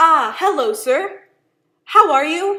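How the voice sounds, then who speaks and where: A woman's squeaky, put-on character voice, extremely high in pitch, with lively intonation. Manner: nervous, overly polite.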